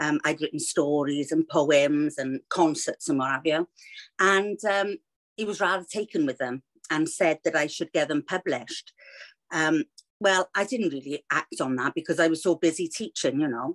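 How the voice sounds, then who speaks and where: A woman with a very deep, low pitch speaks at a moderate pace in a dry, close sound with no echo. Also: ordinary pitch variation. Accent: Welsh. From Wales. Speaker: children's author, former teacher. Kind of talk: interview.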